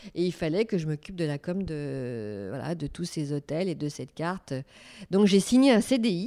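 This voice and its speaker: Over a very clean recording with a silent background, a woman with a dark, mellow tone speaks at a fairly slow pace in a fairly low pitch, making very wide pitch swings. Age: 50s. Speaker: business owner, events venue. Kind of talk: interview. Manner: hesitant, many fillers.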